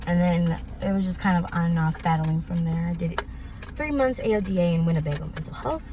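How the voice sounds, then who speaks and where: A woman with an American accent at a fairly quick pace, with noticeable background noise. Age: 20s. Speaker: person experiencing homelessness and addiction. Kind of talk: street interview answer.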